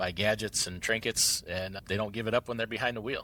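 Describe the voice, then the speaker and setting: Very fast and monotone, a man speaks in a fairly low pitch with a strong Midwestern accent and a bright, sharp tone. The recording is very clean with a silent background. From Central Wisconsin, US Midwest. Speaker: truck owner and trucking entrepreneur. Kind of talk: podcast interview.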